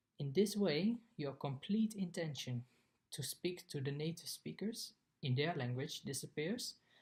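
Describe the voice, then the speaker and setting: A man talks in a somewhat breathy voice with a Dutch accent. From Netherlands. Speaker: exchange student. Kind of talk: scripted narration.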